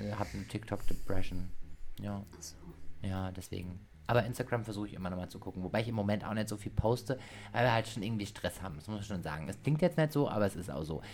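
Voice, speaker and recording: A man talks at a very fast pace with a fairly low pitch and vocal fry. His intonation is lively, with big swings in loudness. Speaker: podcast host and dance teacher. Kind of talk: casual chat.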